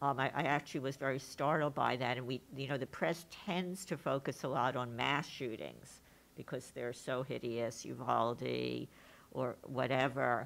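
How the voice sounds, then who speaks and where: In a New York accent, a woman speaks at a moderate pace with a very deep, low pitch. Her voice shows vocal fry and ordinary pitch variation. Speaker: moderator and professor; moderator, professor. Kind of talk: panel discussion. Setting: stage with audience. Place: hall. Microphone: podium.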